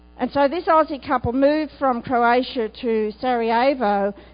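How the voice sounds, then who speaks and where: Speaking at a moderate pace, a woman with an Australian accent has a fairly high pitch and ordinary pitch variation. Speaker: itinerant preacher. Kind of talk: sermon. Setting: church.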